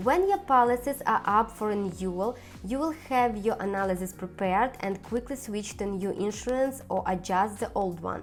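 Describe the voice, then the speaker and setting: With music in the background, a woman with a non-native accent speaks at a medium pitch and moderate pace, with ordinary pitch variation and hardly any pauses. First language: not English. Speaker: personal finance YouTuber. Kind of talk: scripted tutorial.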